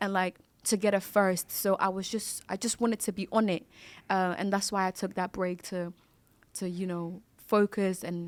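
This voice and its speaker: At a moderate pace, a woman with a non-native accent speaks at medium pitch with monotone, flat intonation, in a very clean recording with a silent background. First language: not English. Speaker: content creator. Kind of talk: casual chat.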